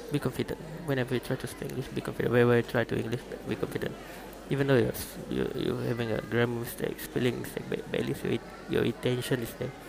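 The speech comes at a very fast pace in a Malaysian accent. Noticeable background noise is present. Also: man. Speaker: podcaster. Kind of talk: casual monologue on learning English. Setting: noisy surroundings. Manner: halting, many repetitions.

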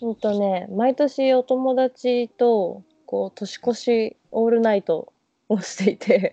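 The pace is very slow as a woman speaks. Her pitch is fairly high and her intonation fairly even. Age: 20s. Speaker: tourism worker. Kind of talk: casual chat.

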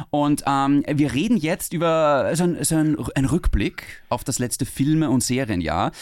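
In a very clean recording with a silent background, a man with an unremarkable speaking voice talks at a fairly high pitch with ordinary pitch variation and hardly any pauses. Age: 30s. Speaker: podcast host. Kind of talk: casual chat.

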